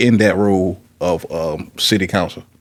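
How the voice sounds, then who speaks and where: In a normal speaking voice, a man with an American accent talks at a fairly low pitch with fairly even intonation. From Petersburg, Virginia. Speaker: podcast host. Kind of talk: casual interview.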